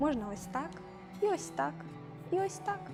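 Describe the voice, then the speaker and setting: Music in the background behind a woman's fairly high voice, fairly quick in pace and very wide in its pitch swings. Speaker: cosplay prop maker. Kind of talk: craft tutorial narration.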